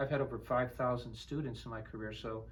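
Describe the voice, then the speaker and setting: Talking at a very fast pace, a man speaks with an American accent. Room echo is audible. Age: 60s. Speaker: flute instructor. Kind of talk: instrument demonstration and interview.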